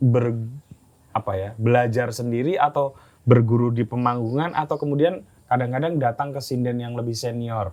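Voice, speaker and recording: This man has a medium-pitched voice with a dark, mellow tone. He talks at a moderate pace with ordinary pitch variation. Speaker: podcast host. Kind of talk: podcast interview questions.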